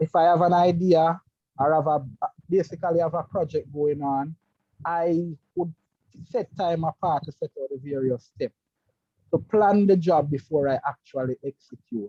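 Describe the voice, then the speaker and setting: A man's fairly high-pitched voice with a dark, mellow tone, ordinary pitch variation, a moderate pace and long, frequent pauses, in a dry, close sound with no echo. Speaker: electrical engineer and project manager. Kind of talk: interview. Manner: halting.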